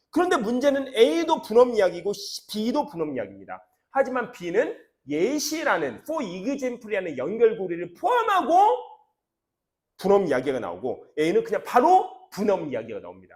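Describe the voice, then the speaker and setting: Moving at a moderate pace, a man talks in a high pitch with very wide pitch swings. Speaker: English academy teacher. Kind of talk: lecture.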